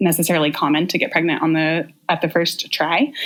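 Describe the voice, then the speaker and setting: A woman speaks with a West Coast US accent. Her pace is moderate. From US Pacific Northwest, Portland, Oregon. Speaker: podcast guest sharing birth stories. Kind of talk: casual interview storytelling.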